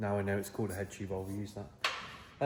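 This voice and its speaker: Audible room echo and noticeable background noise accompany a man's speech. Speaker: fabricator, workshop builder. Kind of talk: workshop tutorial, casual chat. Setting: workshop. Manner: quiet, low-energy; casual, chatty.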